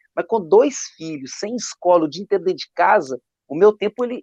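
A man speaks at a moderate pace with lively intonation. The sound is dry and close, with no echo. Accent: Minas Gerais. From Minas Gerais, Brazil. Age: 30s. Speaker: drummer and drum teacher. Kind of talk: casual chat.

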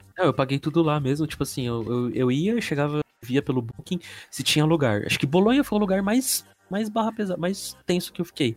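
With music in the background, a man speaks at a fairly quick pace in a fairly high voice with very wide pitch swings. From Brazil. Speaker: podcast guest, office worker. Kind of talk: casual chat. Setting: remote recording.

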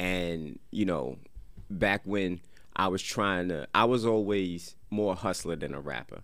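Amid audible room echo, a man with a very deep, low pitch speaks at a fairly slow pace. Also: ordinary pitch variation. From Paterson, New Jersey. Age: 30s. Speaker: rapper. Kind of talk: casual chat. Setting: studio.

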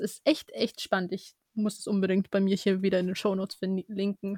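In a very clean recording with a silent background and a dry, close sound with no echo, a woman with a medium-pitched voice and an unremarkable speaking voice talks at a moderate pace. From Germany. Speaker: podcast co-host, law student. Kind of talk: casual interview chat.

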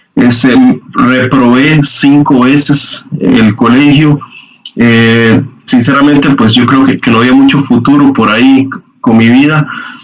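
The speech comes at a very slow pace with fairly even intonation. Noticeable background noise is present. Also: man, medium pitch for a man, very even loudness. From Costa Rica, Guanacaste (Liberia). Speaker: church youth leader. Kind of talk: testimony.

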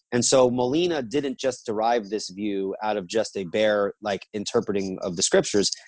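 At a moderate pace, a man talks in a normal speaking voice with a fairly low pitch and ordinary pitch variation. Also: hardly any pauses. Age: 30s. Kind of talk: theological interview. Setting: video call.

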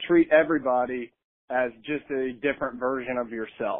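A man with a plain, everyday voice, medium pitch, fairly even intonation and a moderate pace. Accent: American. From Kansas. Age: 20s. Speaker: high school football coach and entrepreneur. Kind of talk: casual interview.

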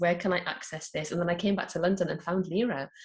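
With a northeast English accent, a woman speaks in a fairly low, somewhat breathy voice with fairly even intonation. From northeast England. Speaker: mystic and mindfulness coach. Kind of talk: interview.

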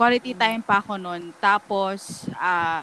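A woman's voice, with ordinary pitch variation, comes through noticeable background noise. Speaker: podcast co-host. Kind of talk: casual chat.

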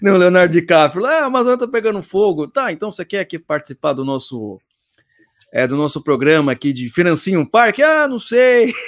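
This man talks at a fairly quick pace in a high pitch with very wide pitch swings, and the sound is dry and close with no echo. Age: 30s. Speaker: podcast host. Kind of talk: casual chat. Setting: live stream.

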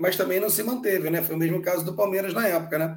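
Here a man speaks with a high voice. Audible room echo surrounds him. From Brazil, Belo Horizonte. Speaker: football historian co-host. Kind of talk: casual chat.

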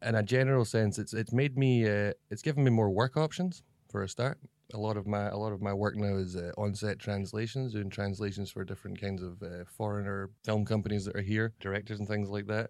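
In a Scottish accent, a man speaks at a fairly quick pace, his fairly low pitch carrying fairly even intonation. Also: very clean recording, silent background. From Scotland. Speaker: comedy video actor. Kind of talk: interview. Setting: office.

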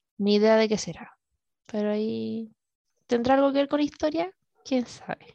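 A woman with a Chilean accent speaks at a moderate pace in a fairly high pitch, with lively intonation. The sound is dry and close with no echo, and she leaves long, frequent pauses. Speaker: podcast host. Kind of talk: casual chat. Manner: animated.

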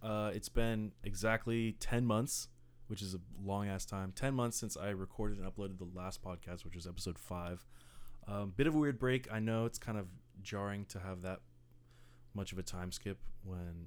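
A man's fairly low, animated voice with an American accent, at a fairly quick pace, with ordinary pitch variation and big swings in loudness. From Bay Area, US. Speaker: podcast host. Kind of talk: casual chat between friends, with joking. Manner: animated, joking, profane.

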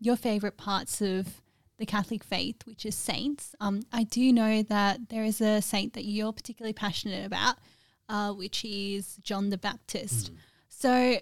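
A woman with a fairly high pitch speaks at a fairly slow pace in an ordinary speaking voice, with ordinary pitch variation, on a very clean, dry, close recording with no echo and a silent background. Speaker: interviewer host. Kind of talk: casual interview.

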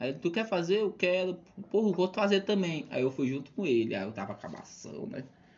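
A high-pitched man with lively intonation at a moderate pace over noticeable background noise. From Brazil, São Luís, Maranhão. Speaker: math teacher and stand-up comedian. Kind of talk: casual chat.

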